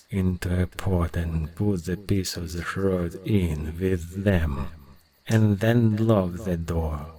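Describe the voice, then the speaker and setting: A man with a Russian accent speaks at a very deep, low pitch. His pace is very slow. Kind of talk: folk tale audiobook reading.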